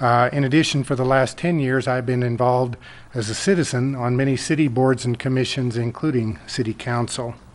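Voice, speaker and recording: An ordinary speaking voice with an American accent moves at a moderate pace with fairly even intonation. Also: man. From US, Colorado (Loveland). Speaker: city council candidate. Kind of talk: candidate forum speech. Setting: public forum.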